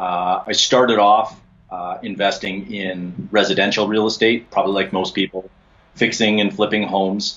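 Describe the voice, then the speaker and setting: A man with an ordinary speaking voice at a fairly low pitch. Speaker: podcast guest. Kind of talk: interview answer. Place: home room. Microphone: video call.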